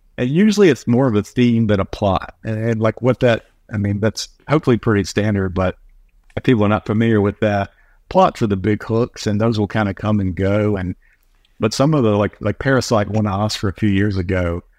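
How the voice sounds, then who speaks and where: Recorded dry and close with no echo over a quiet background, a man with an American accent uses a normal speaking voice at a fairly low pitch and a fairly quick pace. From US, North Carolina. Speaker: screenwriter and filmmaker. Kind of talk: casual interview.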